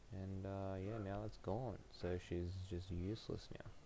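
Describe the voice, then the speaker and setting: A man speaks with a dark, mellow tone at a fairly low pitch. His intonation is monotone and flat. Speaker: gaming streamer. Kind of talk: live gameplay stream chat. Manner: quiet, keeping voice down; hesitant with many fillers.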